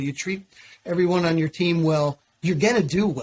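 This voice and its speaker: A man speaks at a fairly quick pace with a fairly high pitch and ordinary pitch variation. His is an unremarkable speaking voice. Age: 50s. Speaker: cleaning business owner. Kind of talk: podcast interview.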